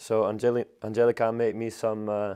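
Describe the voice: A man speaks fairly low and fairly quickly, with little pitch movement. His tone is clear, smooth, dark and mellow.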